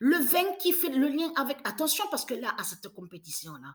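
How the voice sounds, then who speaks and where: A woman speaks in a bright, sharp tone. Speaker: religious video creator. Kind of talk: prophetic monologue. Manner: halting.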